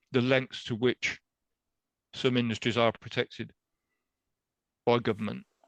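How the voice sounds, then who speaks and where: The sound is dry and close, with no echo. A man talks with an English accent. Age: 60s. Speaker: animal rights activist. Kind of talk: interview.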